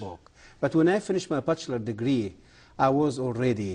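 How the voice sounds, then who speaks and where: Against a quiet background, a man with an Egyptian accent speaks at medium pitch with lively intonation. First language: Arabic. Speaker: former Islamic history professor. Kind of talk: interview answer.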